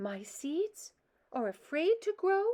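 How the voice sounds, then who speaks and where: A woman uses a squeaky, put-on character voice pitched extremely high. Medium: read story. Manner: fretful, eager.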